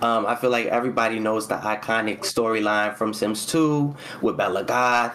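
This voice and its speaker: This man has an ordinary speaking voice, medium in pitch with ordinary pitch variation, and he speaks at a fairly slow pace. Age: 20s. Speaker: custom content creator for a video game. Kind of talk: livestream interview. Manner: casual, filler-heavy speech.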